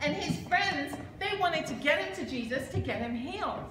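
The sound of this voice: A high-pitched woman's voice with lively intonation at a moderate pace, plus audible room echo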